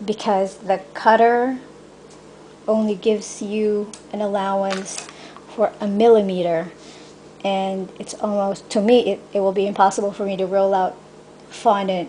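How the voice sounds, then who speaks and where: Speaking with a Filipino accent, a woman talks fairly slowly at a medium pitch in a flat, monotone way, with long, frequent pauses. Noticeable noise runs in the background. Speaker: cake decorator. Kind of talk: tutorial. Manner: halting.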